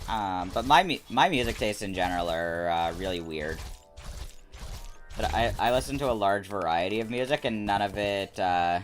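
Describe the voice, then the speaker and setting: Over music in the background, a man with a fairly low pitch speaks at a moderate pace, showing ordinary pitch variation and long, frequent pauses. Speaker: gaming streamer. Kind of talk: casual gameplay livestream commentary. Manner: hesitant, many fillers.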